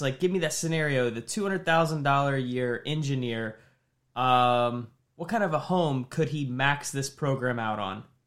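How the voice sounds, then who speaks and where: A man with a Midwestern American accent at a fairly high pitch and moderate pace, with ordinary pitch variation, on a very clean recording with a silent background. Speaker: podcast host, mortgage professional. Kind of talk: casual chat.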